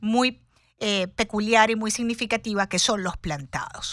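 A woman speaks at a fairly slow pace in a normal speaking voice with ordinary pitch variation. The recording is very clean with a silent background, and the sound is dry and close with no echo. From Venezuela, Cuban parents. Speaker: radio host. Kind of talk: live radio talk show. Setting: radio studio.

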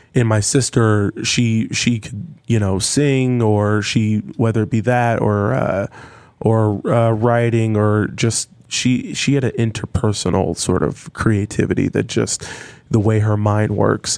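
Using an ordinary speaking voice, a man talks at a medium pitch with fairly even intonation and a fairly slow pace. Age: 30s. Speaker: folk musician. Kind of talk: casual chat.

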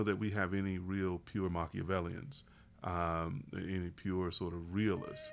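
Talking at a moderate pace, a man with an unremarkable speaking voice keeps his pitch fairly low. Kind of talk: casual podcast discussion.

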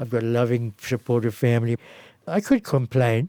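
Dark and mellow in tone, a man's voice comes through dry and close with no echo on a very clean recording with a silent background. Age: 70s. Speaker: doctor and jazz pianist. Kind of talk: interview.

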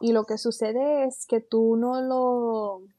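A woman's fairly high voice, dark and mellow in tone, moves at a very slow pace with monotone, flat intonation in a dry, close sound with no echo. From western Puerto Rico (San Sebastián, Moca). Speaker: coffee educator. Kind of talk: interview. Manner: halting, many fillers.

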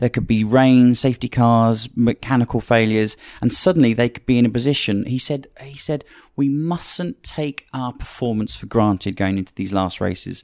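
A man with a British accent talks at a moderate pace and medium pitch, with ordinary pitch variation. The sound is dry and close, with no echo. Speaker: motorsport commentator and analyst. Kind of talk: casual panel discussion.

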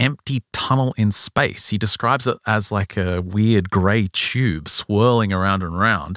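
Recorded very cleanly with a silent background and a dry, close sound with no echo, a man speaks in a bright, sharp tone at a fairly low pitch with ordinary pitch variation. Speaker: podcast host. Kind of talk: casual chat.

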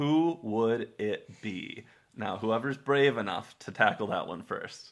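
A man with a plain, everyday voice talks at a fairly slow pace. His intonation is lively. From Texas. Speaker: history podcast host. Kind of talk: casual chat.

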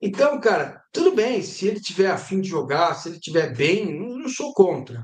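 Speaking at a moderate pace, a man with a high pitch makes very wide pitch swings and big swings in loudness. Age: 50s. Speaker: sports journalist. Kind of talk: casual chat. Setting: live stream.

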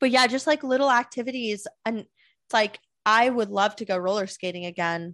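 A normal speaking voice at a moderate pace, with ordinary pitch variation, a dry, close sound with no echo, and a quiet background. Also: woman, fairly high pitch for a woman. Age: 20s. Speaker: podcast co-host. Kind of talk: casual chat.

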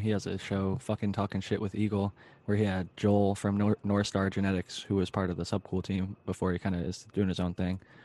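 Against a quiet background, a man with an American accent speaks at a fairly quick pace in a dark, mellow tone with monotone, flat intonation. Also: dry, close sound with no echo. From Ohio, US. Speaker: panel host. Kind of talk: casual panel chat. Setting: live YouTube stream.

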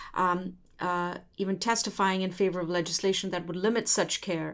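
The recording is very clean with a silent background as a woman speaks at a moderate pace. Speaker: interviewer host. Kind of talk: interview. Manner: hesitant, filler-heavy.

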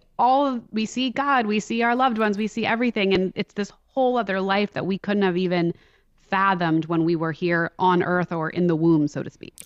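A plain, everyday voice with an American accent and lively intonation. The sound is dry and close with no echo, over a quiet background. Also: woman. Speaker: grief podcast host. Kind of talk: casual interview. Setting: remote call.

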